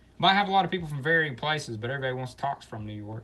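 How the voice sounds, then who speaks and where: Speaking very fast with an American accent, a man swings his pitch very widely over noticeable background noise. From Alabama, US South. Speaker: live streamer and clothing reseller. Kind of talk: casual chat.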